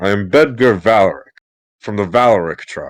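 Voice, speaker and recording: A man puts on a character voice and keeps a medium pitch at a moderate speed. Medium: actual play.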